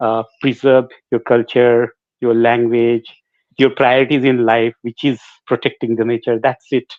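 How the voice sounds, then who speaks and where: Speaking with a Bengali accent, a man talks at a fairly slow pace in a medium pitch with monotone, flat intonation. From India, Jharkhand (Ranchi). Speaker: singer. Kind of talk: interview. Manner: halting.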